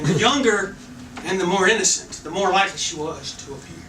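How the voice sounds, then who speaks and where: Raising and projecting his voice, a man talks at a moderate pace with lively intonation. Audible room echo and noticeable background noise fill the recording. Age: 60s. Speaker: storyteller at live event. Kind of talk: live storytelling.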